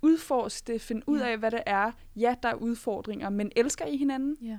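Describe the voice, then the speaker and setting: A woman with a fairly high pitch uses an unremarkable speaking voice and ordinary pitch variation, captured in a very clean recording with a silent background. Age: 20s. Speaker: podcast panelist. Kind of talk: casual chat. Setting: studio.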